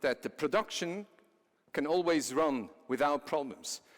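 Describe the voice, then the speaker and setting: In a very clean recording with a silent background, a man with a Swiss accent speaks at a moderate pace, his fairly high voice carrying lively intonation. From Switzerland. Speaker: company CEO, conference speaker. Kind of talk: conference presentation. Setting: stage with audience.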